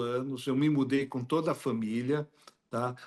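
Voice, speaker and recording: At a fairly slow pace, a man of medium pitch speaks with a Brazilian accent and fairly even intonation. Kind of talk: interview.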